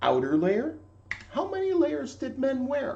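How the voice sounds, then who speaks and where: A put-on character voice at a fairly slow pace. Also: man. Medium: read story. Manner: blunt, terse, gruff.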